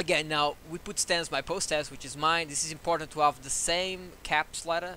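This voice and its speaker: A man speaks with a bright, sharp tone at a fairly high pitch. His intonation is fairly even. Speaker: animator making tutorial videos. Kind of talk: screen-recorded software tutorial. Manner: fast; halting, self-correcting.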